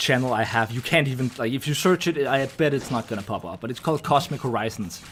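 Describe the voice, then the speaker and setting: A man with a slight Danish accent. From Denmark. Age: 20s. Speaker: video game streamer. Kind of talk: live stream chat, reading and answering viewer messages. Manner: casual, with many fillers and restarts.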